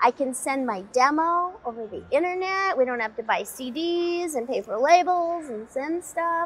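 A woman with a high pitch speaks at a moderate pace with hardly any pauses, her pitch swinging very widely and her loudness rising and falling sharply. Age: young-sounding. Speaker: voice actor. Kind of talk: interview answer. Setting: convention interview. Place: studio.

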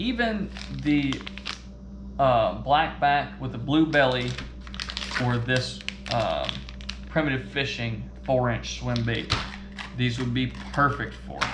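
A man at medium pitch, slow pace and ordinary pitch variation, over clear background noise

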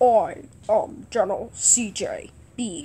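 The voice sounds female and is pitched high. It is a put-on character voice. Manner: imitating a voice.

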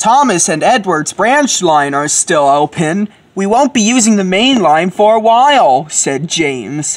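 Reading in a natural voice

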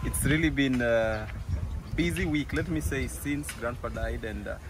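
A man at a moderate pace, in a dry sound with no echo and noticeable background noise. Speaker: village vlogger. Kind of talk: casual vlog chat. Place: open country. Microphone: phone near.

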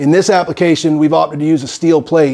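A man's dark, mellow tone comes through with a quiet background behind it. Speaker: HVAC installer trainer. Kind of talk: tutorial.

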